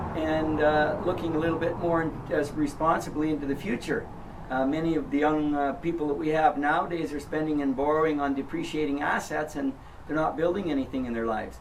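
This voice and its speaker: A man talks fairly quickly at a fairly high pitch with fairly even intonation. Noticeable background noise and audible room echo are present. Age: 60s. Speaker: property seller. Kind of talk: interview. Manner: hesitant, frequent uh fillers.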